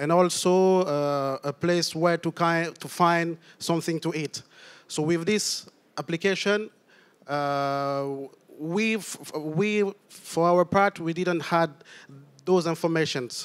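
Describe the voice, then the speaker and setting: On a very clean recording with a silent background, a man speaks very slowly in a high pitch with fairly even intonation. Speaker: refugee and tech startup founder. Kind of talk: panel discussion. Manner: halting.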